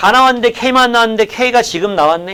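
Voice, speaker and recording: This man talks at a fairly quick pace. His pitch swings very widely. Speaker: math tutor. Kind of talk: lecture.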